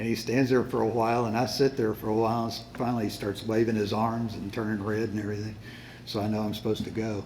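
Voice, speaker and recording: There is audible room echo as a man talks at a very fast pace. His medium-pitched voice has monotone, flat intonation. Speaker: Bible class teacher. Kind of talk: lecture. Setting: classroom with sound system. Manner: hesitant, many fillers.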